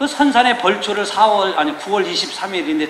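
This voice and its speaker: A man's high-pitched voice with very wide pitch swings, audible room echo and noticeable background noise. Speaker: pastor. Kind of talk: sermon. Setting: church. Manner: casual, conversational.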